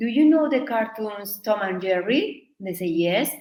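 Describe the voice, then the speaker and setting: A woman speaks at a fairly high pitch with a Spanish accent. Audible room echo is present. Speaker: Spanish teacher. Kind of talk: online workshop. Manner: halting.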